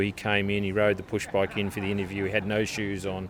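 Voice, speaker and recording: A man speaks fairly quickly with an Australian accent and a fairly low pitch. His intonation stays monotone and flat. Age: 50s. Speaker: live export industry chairman. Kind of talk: interview. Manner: halting, many repetitions.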